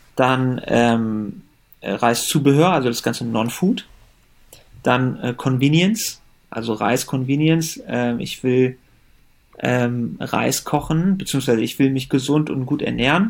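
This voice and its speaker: A man's medium-pitched voice, with ordinary pitch variation, moves at a very slow pace. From Germany. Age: 30s. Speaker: company founder. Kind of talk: interview.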